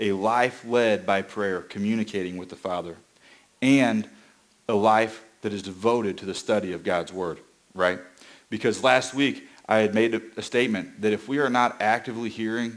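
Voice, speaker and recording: Ordinary pitch variation runs through a man's fairly low voice. He speaks at a moderate pace. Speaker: preacher. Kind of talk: sermon. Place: church.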